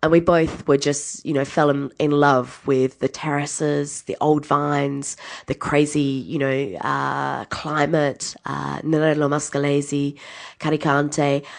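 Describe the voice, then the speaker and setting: Speaking with an Australian accent, a woman has a very deep, low pitch. Her pace is very slow and her intonation monotone and flat. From Adelaide, South Australia. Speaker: winemaker. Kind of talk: interview.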